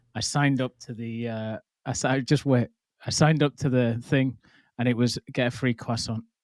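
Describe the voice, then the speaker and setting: A man speaks with a northern English accent in a dry, close sound with no echo. The recording is very clean with a silent background, and his intonation is fairly even. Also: medium pitch for a man, moderate pace. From northern England. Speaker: podcast host. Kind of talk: casual interview chat.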